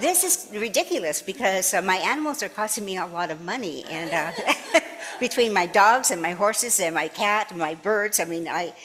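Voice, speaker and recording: Noticeable background noise sits behind a woman speaking at a moderate pace and medium pitch with lively intonation. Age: 80s+. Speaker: minister. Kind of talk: sermon. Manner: halting.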